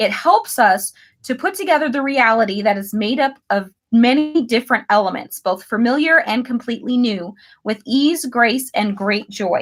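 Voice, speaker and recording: Over music in the background, a woman with an American accent speaks at a moderate pace, her high pitch carrying lively intonation. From United States. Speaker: tarot reader. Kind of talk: live tarot reading. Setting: livestream.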